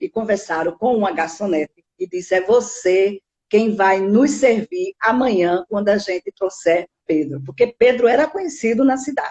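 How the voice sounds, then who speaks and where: A woman's fairly high voice, lively in intonation, at a moderate pace. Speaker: spiritist lecturer. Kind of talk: lecture. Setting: online live stream.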